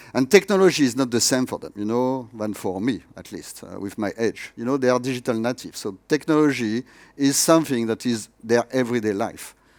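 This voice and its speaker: A man with a French accent speaks at a medium pitch and a fairly quick pace with hardly any pauses. His loudness swings widely, his pitch varies in an ordinary way, and the recording is very clean with a silent background. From France. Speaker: tech education executive. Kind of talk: conference keynote. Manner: hesitant with many fillers.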